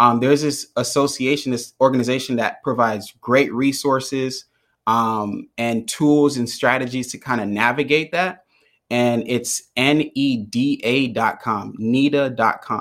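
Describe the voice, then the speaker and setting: On a very clean recording with a silent background, a man with an American accent and an unremarkable speaking voice talks at a fairly slow pace and medium pitch, his intonation fairly even. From US, Jamaican American family. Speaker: mental health speaker and founder. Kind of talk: interview.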